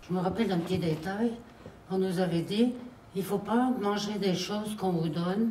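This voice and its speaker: A woman with a medium pitch talks at a fairly slow pace in a fairly even intonation. Noticeable background noise and audible room echo fill the recording. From France, Isère (near Grenoble). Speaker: elderly war witness. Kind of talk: testimony.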